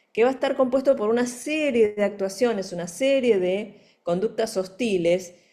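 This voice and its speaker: The speaker is a woman with lively intonation. Her tone is dark and mellow. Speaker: forensic psychology expert and lecturer. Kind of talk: lecture.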